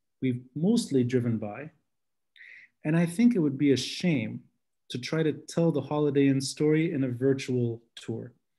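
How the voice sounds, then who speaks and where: A man speaks in a dark, mellow tone with an American accent. His voice is somewhat breathy against a quiet background. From Lebanon. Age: 30s. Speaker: podcast host and city tour guide; guest lecturer, podcast host, tour guide. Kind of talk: lecture. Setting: video call. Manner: passionate; animated. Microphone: video call.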